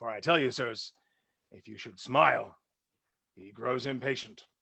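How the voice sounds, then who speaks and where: In a raspy, put-on character voice, a man speaks at medium pitch and a moderate pace. His intonation is fairly even, while his loudness swings widely. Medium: stage play. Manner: authoritative, lordly.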